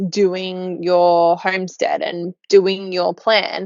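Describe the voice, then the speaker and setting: Speaking in an Australian accent, a woman keeps her voice at a medium pitch. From Australia, Newcastle. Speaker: podcast co-host, permaculture gardener. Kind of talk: casual chat.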